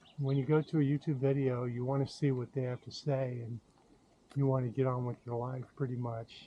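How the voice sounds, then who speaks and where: A man's medium-pitched voice has a dark, mellow tone. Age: 70s. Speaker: YouTuber sharing diet experience. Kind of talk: casual vlog monologue. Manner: halting, with many fillers.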